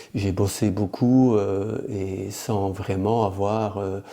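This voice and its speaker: At a very slow pace, a man talks in a dark, mellow tone at a fairly low pitch with fairly even intonation. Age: 60s. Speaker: organic farmer. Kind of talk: interview conversation. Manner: halting, many hesitations.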